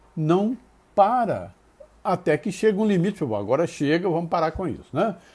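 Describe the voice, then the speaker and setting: This man has a high pitch and lively intonation, and he speaks at a moderate pace. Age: 70s. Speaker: spiritist lecturer. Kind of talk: lecture. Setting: live stream.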